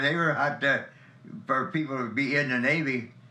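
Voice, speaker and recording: An American accent comes through with audible room echo. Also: man. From Ohio, US Midwest (Elyria, Hungarian neighborhood). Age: 90s. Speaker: war veteran. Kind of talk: interview. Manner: halting.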